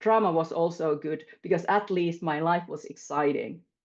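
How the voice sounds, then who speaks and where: Against a quiet background, a woman with a Finnish accent speaks at a fairly slow pace. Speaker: panelist. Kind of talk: panel discussion. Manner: halting.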